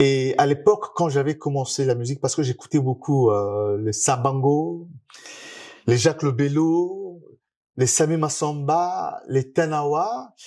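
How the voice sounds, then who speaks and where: At a very slow pace, a man speaks with fairly high pitch and a dark, mellow tone, in a very clean recording with a silent background. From Republic of the Congo. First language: Lari (Kikongo) (speaking French). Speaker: musician. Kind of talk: interview. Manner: hesitant, many fillers.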